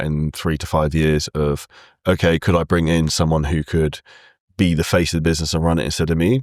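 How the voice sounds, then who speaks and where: A man with a British accent speaks at a fairly quick pace in a very deep, low pitch. The recording is very clean and dry, with a close sound, no echo and a silent background. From UK. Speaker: fitness entrepreneur. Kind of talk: casual interview chat. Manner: energetic.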